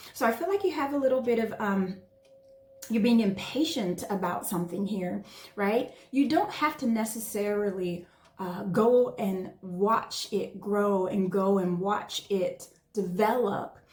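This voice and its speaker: A woman with a medium pitch and ordinary pitch variation speaks against noticeable background noise. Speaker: tarot reader. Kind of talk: tarot reading.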